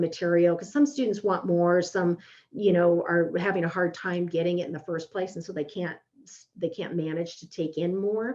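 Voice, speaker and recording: A woman's fairly low voice shows ordinary pitch variation. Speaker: professor. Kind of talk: webinar Q&A. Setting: online webinar. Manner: fast.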